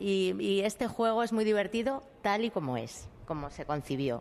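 A woman is speaking. Her pitch swings very widely. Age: 50s. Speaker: actress. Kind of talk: interview.

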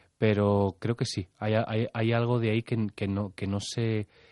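The man's voice has a dark, mellow tone. The background is quiet, and the sound is dry and close with no echo. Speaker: theatre actor. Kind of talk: radio interview.

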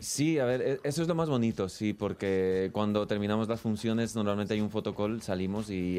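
A man's fairly low voice with a dark, mellow tone and ordinary pitch variation. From Ecuador. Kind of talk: interview. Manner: halting.

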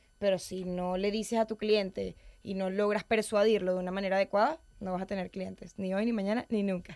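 A woman speaks at medium pitch with monotone, flat intonation and a fairly quick pace. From Venezuela. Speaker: public speaking coach. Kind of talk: interview.

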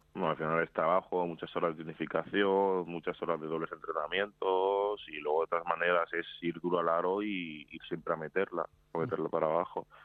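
Talking fairly quickly with hardly any pauses, a man with a Madrid accent uses a very deep, low voice in a flat monotone. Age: 20s. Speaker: professional basketball player. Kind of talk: interview.

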